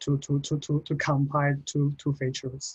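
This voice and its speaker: A man speaks at a fairly slow pace in a Chinese accent. His voice is fairly high for a man and somewhat breathy. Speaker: postgraduate researcher. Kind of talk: Q&A after presentation. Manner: halting, many repetitions.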